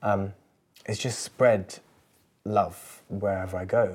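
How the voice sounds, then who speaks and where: On a very clean recording with a silent background, a man speaks with an English accent at a fairly low pitch. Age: 20s. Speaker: musician. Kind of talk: casual chat. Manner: hesitant, many fillers.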